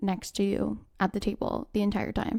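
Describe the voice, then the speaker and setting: On a very clean recording with a silent background, a woman speaks in a medium pitch with a dark, mellow tone. Her pace is moderate and her intonation fairly even. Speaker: podcast co-host. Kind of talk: casual chat. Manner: loud.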